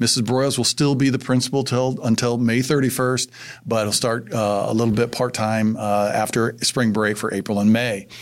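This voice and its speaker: A man with an American accent speaks at a moderate pace and a medium pitch. His intonation is monotone and flat, and his loudness stays very even. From Indiana. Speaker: school superintendent. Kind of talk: casual interview.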